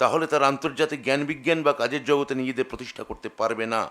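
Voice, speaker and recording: A man with an ordinary speaking voice and ordinary pitch variation. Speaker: official giving a workshop address. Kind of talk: formal speech. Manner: formal.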